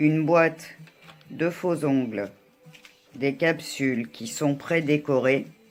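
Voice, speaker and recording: Music plays in the background as a woman speaks very slowly, her very deep, low pitch showing ordinary pitch variation. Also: long, frequent pauses. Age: 60s. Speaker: beauty vlogger. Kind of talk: tutorial. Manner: hesitant.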